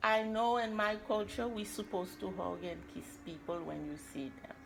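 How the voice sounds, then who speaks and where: Here a woman speaks at a fairly high pitch with very wide pitch swings. Noticeable background noise and audible room echo fill the recording. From Haiti. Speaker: role-play client. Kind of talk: role-play counseling session.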